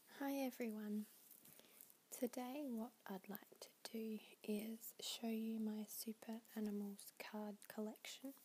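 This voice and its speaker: Whispering and soft-spoken, the voice proceeds at a very slow pace. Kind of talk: ASMR ramble. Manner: whispery, soft-spoken.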